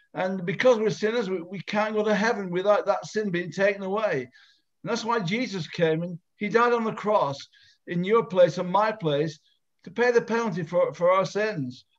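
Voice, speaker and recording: Against a quiet background, a man talks at a moderate pace. His pitch is high, with ordinary variation. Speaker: evangelist host. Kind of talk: evangelistic meeting hosting. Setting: video call. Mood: earnest, persuasive. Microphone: video call.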